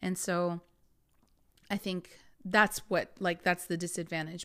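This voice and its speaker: Speaking at a moderate pace and a medium pitch, a woman is heard in a very clean recording with a silent background. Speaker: spirituality podcast host and energy coach. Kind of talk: casual monologue. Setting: podcast recording. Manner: halting.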